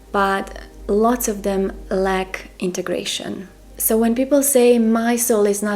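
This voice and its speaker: Over noticeable background noise, a woman with a Croatian accent speaks at a fairly slow pace and a fairly high pitch, with fairly even intonation. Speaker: spiritual mentor. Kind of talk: monologue to camera.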